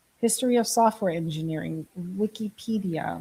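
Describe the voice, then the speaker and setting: Speaking at a moderate pace, a woman has a dark, mellow tone that is somewhat breathy, with ordinary pitch variation. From Germany. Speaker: live streamer on AI and coding. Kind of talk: casual live stream. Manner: animated.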